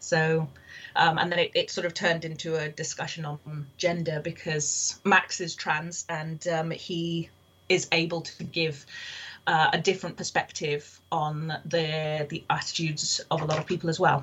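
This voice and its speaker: A woman speaks at a moderate pace and fairly low pitch. Her intonation is a flat monotone. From Kenya, near Mombasa. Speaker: novelist. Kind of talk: interview. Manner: halting, many fillers.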